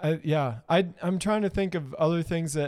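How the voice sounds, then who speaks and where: A man's high-pitched voice at a moderate pace, with fairly even intonation. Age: 30s. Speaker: podcast co-host. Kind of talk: casual chat. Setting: live-streamed studio podcast.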